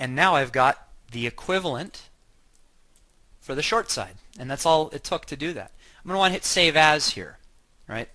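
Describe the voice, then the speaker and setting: A man's bright, sharp voice at a fairly high pitch, with long, frequent pauses and a quiet background. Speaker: software company chief architect giving a product demo. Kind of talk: software tutorial webinar. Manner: fast.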